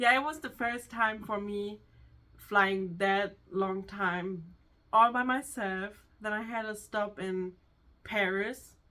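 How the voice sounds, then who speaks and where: Speaking at a very slow pace with long, frequent pauses, a woman with a German accent uses a medium pitch, fairly even intonation and a bright, sharp tone, on a very clean recording with a silent background. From Germany. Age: 20s. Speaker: hairdresser, co-host. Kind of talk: casual chat. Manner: halting.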